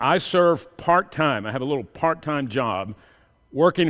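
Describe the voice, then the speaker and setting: A man with a Texan accent speaks with lively intonation. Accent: Texan American. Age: 60s. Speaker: professor. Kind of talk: sermon.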